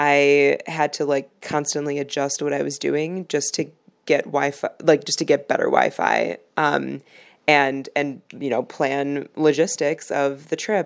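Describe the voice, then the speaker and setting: A woman in a Chicago accent speaks fairly slowly in a very deep, low voice with vocal fry. Her intonation is fairly even, and the recording is very clean with a silent background. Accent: Chicago American English. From Chicago, US Midwest. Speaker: travel podcast host. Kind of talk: casual travel monologue and interview. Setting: outdoors at a busy cafe (interview part).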